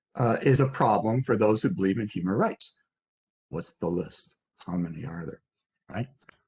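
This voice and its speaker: Somewhat breathy, a man with a fairly low pitch speaks with long, frequent pauses. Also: lively intonation, moderate pace. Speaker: philosopher. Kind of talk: lecture. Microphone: hears own echo.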